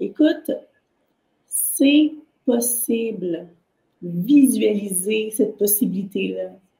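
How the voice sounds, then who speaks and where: With audible room echo, a woman speaks in a dark, mellow tone with lively intonation. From Haitian background. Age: 40s. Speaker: entrepreneur and artist; podcast guest. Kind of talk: interview. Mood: enthusiastic, encouraging. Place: home room.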